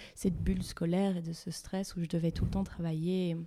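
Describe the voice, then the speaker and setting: In a very clean recording with a silent background, a woman speaks at a fairly low pitch with a dark, mellow tone and fairly even intonation. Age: 20s. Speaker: psychology student. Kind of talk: interview.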